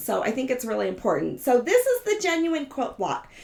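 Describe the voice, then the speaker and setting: A woman speaks with a high pitch. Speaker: quilting teacher. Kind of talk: live-stream tutorial chat. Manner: casual, chatty.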